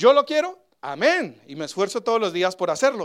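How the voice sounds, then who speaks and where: At a moderate pace, a man talks at a high pitch with very wide pitch swings. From Colombia. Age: 30s. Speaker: pastor. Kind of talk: sermon.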